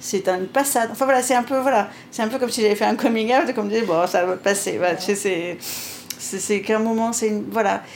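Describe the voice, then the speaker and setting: A woman with a fairly high pitch, ordinary pitch variation and very even loudness, over noticeable background noise. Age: 50s. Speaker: pastry chef and restaurant owner. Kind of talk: interview conversation.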